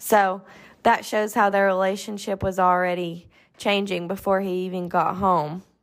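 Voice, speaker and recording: Monotone and flat, a woman speaks in a Southern US accent on a very clean recording with a silent background. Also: medium pitch for a woman, moderate pace. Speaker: podcast host. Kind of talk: casual podcast chat.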